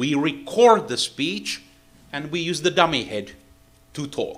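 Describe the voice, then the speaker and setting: The voice has vocal fry and very wide pitch swings. The pace is moderate. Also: man. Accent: non-native. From Finland. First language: Finnish. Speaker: acoustics engineer, seminar lecturer. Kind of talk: technical lecture. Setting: lecture hall with interpreter. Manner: halting, with many fillers.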